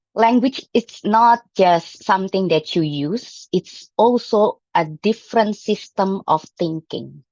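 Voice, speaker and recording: With an Indonesian accent, a woman speaks at a very slow pace and medium pitch, her intonation lively. The sound is dry and close, with no echo. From Indonesia (Jambi, Sumatra). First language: Jambi Malay. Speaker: club member giving a speech. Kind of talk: prepared speech. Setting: hybrid club meeting. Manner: hesitant, with fillers.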